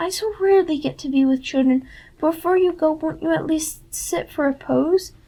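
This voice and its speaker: A woman performs a put-on character voice. Her pitch is extremely high and her pace moderate. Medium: read story. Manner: soothing, purring, hypnotic.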